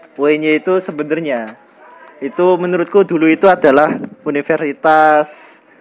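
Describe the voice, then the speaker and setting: A man's fairly high voice at a moderate pace, fairly even in intonation, against noticeable background noise. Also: long, frequent pauses. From Indonesia, Bangka (born in Bantul, Yogyakarta). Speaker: university student. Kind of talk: casual interview. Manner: hesitant, many fillers.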